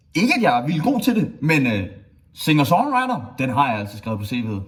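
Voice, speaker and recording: A man's voice with very wide pitch swings and audible room echo. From Denmark, Skanderborg (East Jutland). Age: 20s. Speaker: student applying for a student committee. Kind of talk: self-presentation video. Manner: cheerful.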